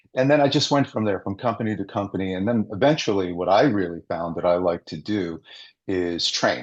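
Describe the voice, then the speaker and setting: A man with an American accent, a fairly low pitch, lively intonation and a fairly quick pace, over a quiet background. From New York State, Westchester County. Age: 60s. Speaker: business coach. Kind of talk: interview. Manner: halting, with fillers.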